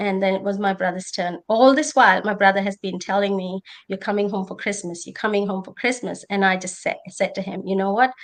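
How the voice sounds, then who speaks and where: Speaking fairly quickly with an Indian accent, a woman at medium pitch makes big swings in loudness. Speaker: nurse and conference panelist. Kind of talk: personal testimony on a panel. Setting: conference panel.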